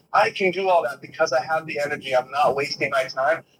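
Speaking with an American accent, this man has a bright, sharp tone, a fairly high pitch and a fairly quick pace. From Boston, US. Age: 20s. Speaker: sobriety and wellness advocate, cyclist. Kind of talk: casual interview. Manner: animated.

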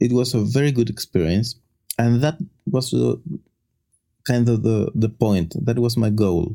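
In a Chilean accent, a man speaks at a fairly slow pace in a dark, mellow tone, with very even loudness and long, frequent pauses. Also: medium pitch for a man, ordinary pitch variation. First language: Spanish. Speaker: linguist. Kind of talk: casual chat. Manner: halting.

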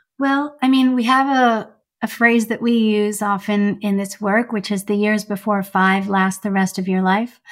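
A woman with a Canadian accent speaks at a moderate pace in a normal speaking voice. Her medium pitch follows fairly even intonation. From Iran, then Canada from age seven. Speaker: psychologist. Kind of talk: interview.

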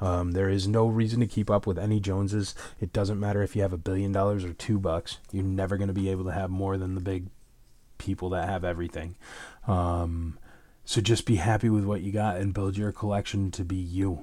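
A man's fairly low, dark, mellow voice moves at a fairly quick pace in a very clean recording with a silent background. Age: 30s. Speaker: podcast host and convention organizer. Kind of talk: casual chat. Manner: animated.

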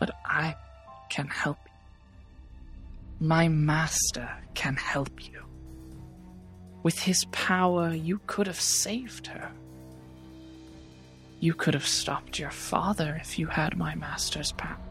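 Over clear background music, someone whispers in a put-on character voice at a fairly slow pace, leaving long, frequent pauses. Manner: taunting, seductive.

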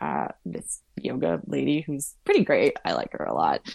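The recording is very clean, and the background is silent. A woman's words come at a moderate pace. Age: 30s. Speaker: endurance cyclist and writer. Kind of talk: casual chat.

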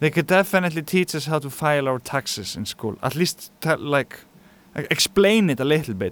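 A man with an Icelandic accent speaks at a fairly quick pace with lively intonation. The sound is dry and close, with no echo. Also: fairly high pitch for a man. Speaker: musician. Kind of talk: interview.

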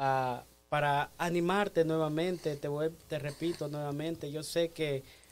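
In a very clean recording with a silent background, a man with an ordinary speaking voice talks at a fairly slow pace, his fairly high pitch held in fairly even intonation. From El Salvador. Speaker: church lay leader. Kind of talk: exhortation.

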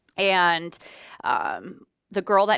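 On a very clean recording with a silent background, a woman with an American accent has a bright, sharp tone. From Minnesota. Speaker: radio DJ. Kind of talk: interview. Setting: studio, live on Facebook.

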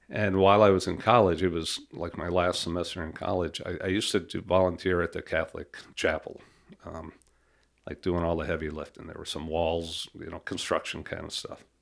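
A man's very deep, low voice stays monotone and flat in intonation while its loudness swings widely. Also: fairly quick pace, very clean recording, silent background. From New York City, Queens. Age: 50s. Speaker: police officer. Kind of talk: casual interview.

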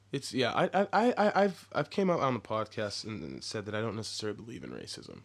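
A man with an American accent speaks very fast at a medium pitch, with vocal fry, very wide pitch swings and big swings in loudness, on a very clean recording with a silent background. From Texas. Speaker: podcast host. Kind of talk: casual interview chat.

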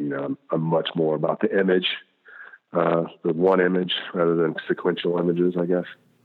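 Talking at a fairly quick pace, a man with a slight Southern US accent has a very deep, low pitch and a monotone, flat intonation. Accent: slight Southern twang. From US South. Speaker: illustrator. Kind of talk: interview. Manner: polite; halting.

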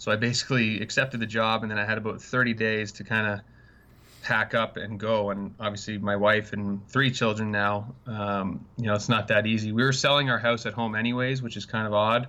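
A man with a Canadian accent talks at a fairly quick pace, his fairly low voice held in a monotone, flat intonation. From Canada. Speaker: hockey strength and conditioning coach. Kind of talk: casual interview chat. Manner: hesitant, many fillers.

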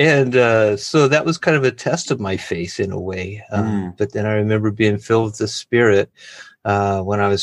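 A man with an American accent speaks at a moderate pace in a fairly low pitch with ordinary pitch variation, a plain, everyday voice over a quiet background. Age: 50s. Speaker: missionary. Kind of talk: interview testimony.

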